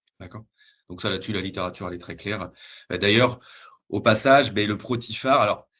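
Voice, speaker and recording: The setting behind this man is quiet. He talks rather quickly, his pitch shifting in an ordinary way. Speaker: dietitian presenting a research project. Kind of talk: webinar presentation; Q&A answer. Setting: video call webinar. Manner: fast; hesitant, many fillers.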